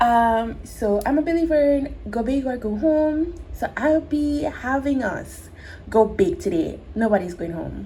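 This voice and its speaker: Her pitch is high and her intonation lively. A woman speaks at a fairly slow pace. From Jamaica. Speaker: crochet tutorial creator. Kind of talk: tutorial. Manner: slow, step-by-step.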